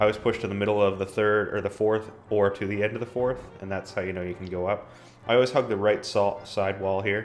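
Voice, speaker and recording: With music playing in the background, a man talks at a fairly quick pace in a monotone, flat intonation and a fairly low pitch. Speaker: gaming video creator. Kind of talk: gameplay walkthrough commentary. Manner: fast; casual with frequent filler ums.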